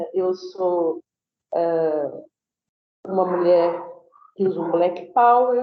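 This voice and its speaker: Speaking very slowly with long, frequent pauses, a woman at a medium pitch uses ordinary pitch variation, and audible room echo surrounds her. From southern Brazil, Florianópolis, Santa Catarina. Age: 60s. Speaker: lecturer and researcher. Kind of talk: lecture. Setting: video call.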